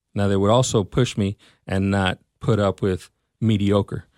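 A man with a Texan accent talks at a fairly slow pace in fairly even intonation and a fairly low pitch. The very clean recording has a silent background and a dry, close sound with no echo. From Texas, Mesquite. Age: 40s. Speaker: school district personnel director. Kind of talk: interview.

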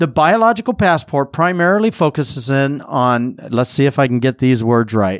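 With a normal speaking voice, a man speaks at medium pitch and a moderate pace, his intonation lively and the sound dry and close with no echo. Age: 50s. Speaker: podcast host. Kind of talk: solo podcast monologue. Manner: casual, with filler words.

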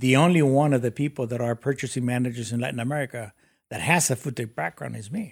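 A man with a Spanish accent speaks at a very fast pace, with medium pitch and ordinary pitch variation, on a very clean recording with a silent background and a dry, close sound with no echo. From Mexico City. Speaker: business executive. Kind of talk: interview.

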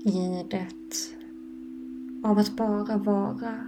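The voice has a gentle, warm tone at a very slow pace. Noticeable background noise runs underneath. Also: woman. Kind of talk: guided meditation. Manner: slow, soft-spoken, calm and soothing with long pauses; gentle, warm and inviting, unhurried.

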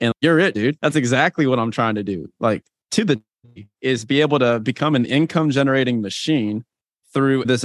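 The voice moves at a fairly quick pace with ordinary pitch variation. The sound is dry and close, with no echo. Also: man. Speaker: podcast host. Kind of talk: casual interview chat. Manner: animated, energetic.

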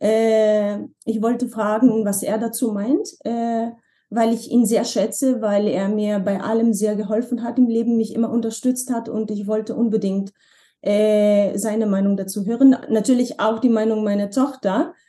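A woman with a Slovenian accent speaks at a fairly high pitch in a dark, mellow, somewhat breathy tone. Her pace is fairly slow and her intonation fairly even. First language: Slovenian (speaking German). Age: 40s. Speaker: former model and language teacher. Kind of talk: interview conversation. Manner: hesitant, with many fillers.

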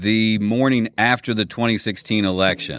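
A man with a Kentucky accent, fairly low in pitch, at a fairly slow pace with ordinary pitch variation. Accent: Kentucky Southern US. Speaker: voice-over artist and former radio DJ. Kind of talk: casual chat.

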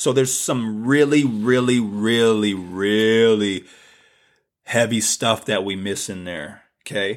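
Against a silent background in a very clean recording, a man with an American accent and medium pitch speaks at a very slow pace with lively intonation. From US South. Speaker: podcast host and mindset coach. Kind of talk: solo spiritual talk. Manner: casual, with frequent repetitions and restarts.

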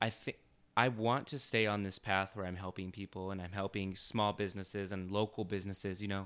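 A man speaks quite fast in a monotone, flat way at a fairly low pitch, in a very clean recording with a silent background. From Arizona, Chandler area. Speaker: web designer and entrepreneur. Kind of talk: interview.

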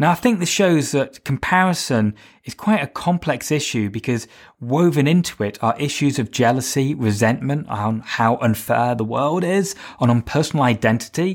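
A man speaks with lively intonation on a very clean recording with a silent background. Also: medium pitch for a man, moderate pace. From Britain. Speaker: podcast host and fitness instructor. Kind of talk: solo podcast monologue with practical tips. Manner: conversational.

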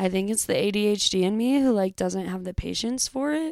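With an American accent, a woman talks at a moderate pace. Her pitch is medium, with ordinary variation. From US West Coast, San Francisco Bay Area. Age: 20s. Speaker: podcast host. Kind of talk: casual monologue. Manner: casual with filler words.

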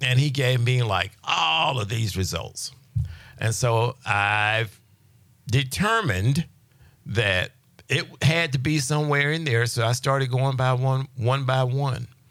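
A man talks at medium pitch with ordinary pitch variation, in an ordinary speaking voice. The recording is very clean, with a silent background. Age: 60s. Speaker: healing ministry teacher. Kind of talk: testimony; religious teaching. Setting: radio studio interview.

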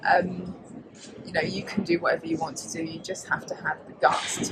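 There is noticeable background noise behind this woman, who talks at a moderate pace. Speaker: property show presenter. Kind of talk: casual interview. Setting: live at a property show.

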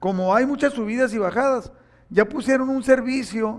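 Ordinary pitch variation marks a man's speech, delivered at a moderate pace. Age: 60s. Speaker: pastor. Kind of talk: sermon.

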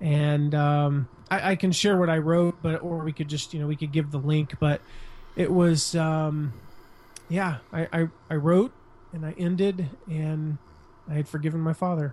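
In an American accent, a man with a fairly high pitch speaks at a fairly slow pace, with fairly even intonation and long, frequent pauses. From US, suburbs. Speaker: blogger and author. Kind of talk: interview.

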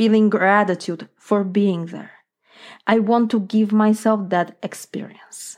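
Against a quiet background, a woman with a Polish accent speaks with fairly even intonation. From Poland. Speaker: life coach. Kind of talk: solo podcast monologue.

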